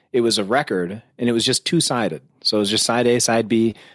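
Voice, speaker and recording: A man with a normal speaking voice, medium pitch and ordinary pitch variation at a fairly quick pace, in a very clean, dry, close recording with no echo and a silent background. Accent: American. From US, rural farm town. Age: 40s. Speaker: film website co-creator. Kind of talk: casual chat.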